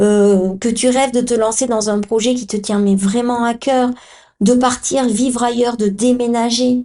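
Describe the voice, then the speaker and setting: A woman's high, flat, monotone voice at a fairly slow pace against a quiet background. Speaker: podcast host and Human Design coach. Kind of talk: podcast monologue.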